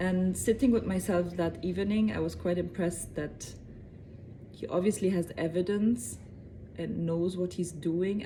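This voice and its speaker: A woman's fairly low, dark, mellow voice with vocal fry, at a fairly slow pace. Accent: German. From Germany. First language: German. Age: 30s. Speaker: convert telling her story. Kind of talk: personal testimony to camera. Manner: hesitant with fillers.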